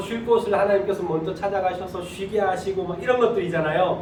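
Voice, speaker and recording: Audible room echo mixes with noticeable background noise throughout the clip. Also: man. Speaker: pastor. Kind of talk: sermon. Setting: church. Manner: conversational, asks congregation questions.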